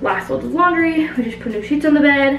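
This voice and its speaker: A woman's voice with audible room echo and faint music in the background. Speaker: vlogger. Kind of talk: casual vlog chat. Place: bathroom. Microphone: phone near.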